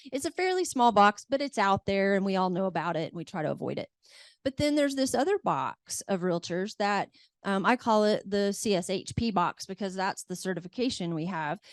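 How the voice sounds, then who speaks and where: A plain, everyday voice moves at a fairly quick pace with lively intonation in a dry, close sound with no echo. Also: woman, medium pitch for a woman. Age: 50s. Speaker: realtor. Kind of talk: seminar panel talk.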